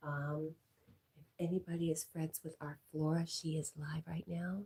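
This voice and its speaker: The woman's very deep, low pitch comes with a dark, mellow tone, a somewhat breathy quality, monotone, flat intonation and a fairly slow pace. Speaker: livestreamer. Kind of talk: casual chat reading live comments.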